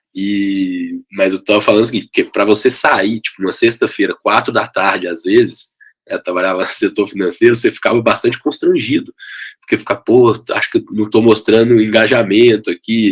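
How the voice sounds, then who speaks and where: A man with a Minas Gerais accent, talking at a fairly quick pace. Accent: mineiro. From Minas Gerais, Brazil (Belo Horizonte). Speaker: education company CEO. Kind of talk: podcast interview.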